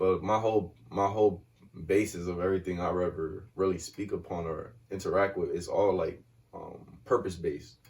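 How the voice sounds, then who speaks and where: Soft-spoken and somewhat breathy, a man with a fairly low pitch keeps his intonation fairly even. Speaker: guest on a community podcast, works with kids. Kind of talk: casual conversation. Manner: mellow, laid back, soft-spoken.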